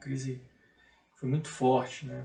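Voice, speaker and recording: Somewhat breathy, a man's voice moves along at a medium speed. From Maranhão, Brazil. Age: 30s. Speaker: economist and public auditor. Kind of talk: TV interview.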